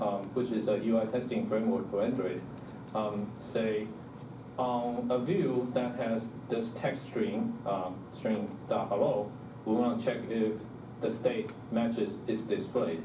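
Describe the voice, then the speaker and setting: A man talks while audible room echo and noticeable background noise accompany his voice. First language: not English. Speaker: software developer giving a meetup talk. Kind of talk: technical presentation. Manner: many fillers and self-corrections.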